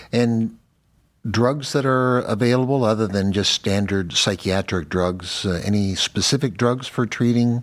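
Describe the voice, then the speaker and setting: Here is a man with a plain, everyday voice, speaking at a fairly slow pace and a medium pitch with ordinary pitch variation. His loudness stays very even, and the recording is very clean with a silent background. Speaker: neurologist podcast host. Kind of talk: professional interview.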